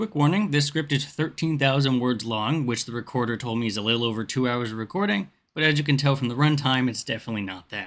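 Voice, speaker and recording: Talking at a very fast pace with ordinary pitch variation, a man is heard on a very clean recording against a silent background. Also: medium pitch for a man. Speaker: gaming video creator. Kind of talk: video essay narration.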